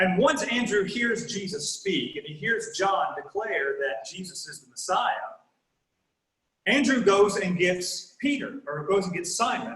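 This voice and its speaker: A high-pitched man with a Southern US accent, fairly slow and lively in intonation, in a room with audible echo. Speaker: guest preacher. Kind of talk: sermon.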